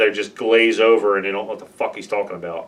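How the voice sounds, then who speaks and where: A loud man speaks very fast at a medium pitch with fairly even intonation. Noticeable background noise sits behind him. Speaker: beer league hockey goalie podcast host. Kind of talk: casual podcast chat. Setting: studio with camera and microphone.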